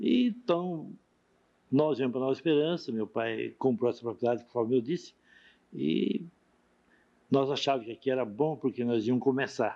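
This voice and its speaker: Pausing long and often, a man talks at a moderate pace and medium pitch in a dark, mellow tone with lively intonation. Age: 60s. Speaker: pioneer shopkeeper interviewee. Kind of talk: oral history interview.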